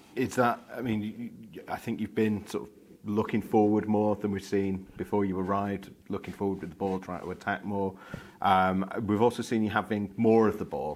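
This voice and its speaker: This is an ordinary speaking voice, keeping a moderate pace and fairly even intonation. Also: man, fairly low pitch for a man. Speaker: journalist. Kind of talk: press conference questions.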